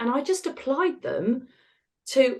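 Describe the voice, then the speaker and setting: A woman with an English accent speaks in an animated tone. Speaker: retired osteopath and author. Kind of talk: interview. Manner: fast.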